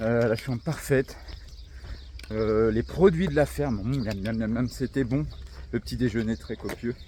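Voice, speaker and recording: A man of medium pitch speaks at a fairly slow pace with lively intonation and long, frequent pauses. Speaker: travel vlogger on a walking trip. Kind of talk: vlog narration while hiking. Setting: outdoors. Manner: animated.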